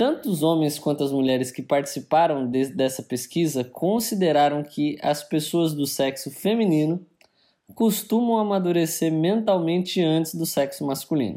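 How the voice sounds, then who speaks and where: Lively in intonation, a man's dark, mellow voice rides at a fairly high pitch. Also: moderate pace, very clean recording, silent background. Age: 30s. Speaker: podcast co-host. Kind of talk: casual chat.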